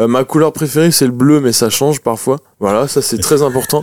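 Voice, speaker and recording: The man's voice has a dark, mellow tone and a fairly high pitch, with ordinary pitch variation. The sound is dry and close, with no echo. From France, Noirmoutier. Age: 20s. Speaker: musician. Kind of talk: casual interview. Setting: in a bus studio.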